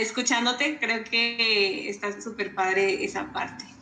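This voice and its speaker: Over noticeable background noise and audible room echo, a woman speaks in a high voice. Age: 20s. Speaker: podcast co-host. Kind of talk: casual interview.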